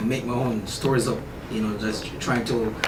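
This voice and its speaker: In a Jamaican accent, a man with a medium-pitched voice speaks very fast with fairly even intonation, against noticeable background noise and audible room echo. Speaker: author. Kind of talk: radio interview.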